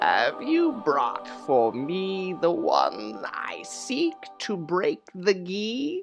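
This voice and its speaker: Someone speaks in a put-on character voice at a middle pitch, very slowly and with hardly any pauses. Faint music plays in the background. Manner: ominous.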